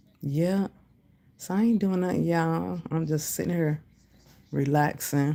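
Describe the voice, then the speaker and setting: Her pitch very deep and low, a woman speaks at a fairly slow pace with long, frequent pauses, a dark, mellow tone, very even loudness and ordinary pitch variation. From US Midwest. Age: 50s. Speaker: livestreamer, commentary YouTuber. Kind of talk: casual livestream chat reading comments. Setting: hotel room livestream. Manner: casual, chatty.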